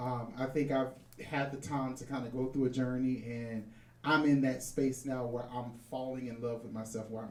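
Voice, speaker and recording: Someone with an American accent speaks at a moderate pace amid noticeable background noise. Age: 40s. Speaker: podcast guest. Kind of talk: casual chat. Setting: stage with live audience.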